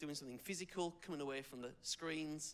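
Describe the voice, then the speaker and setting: This voice has an English accent. The speaker is a man. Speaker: youth worker. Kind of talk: public speech. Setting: supporters' lunch audience.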